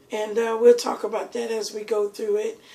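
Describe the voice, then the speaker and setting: A woman's fairly high-pitched voice in a monotone, flat intonation at a moderate pace. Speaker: cooking show host. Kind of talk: cooking tutorial. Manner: casual, chatty.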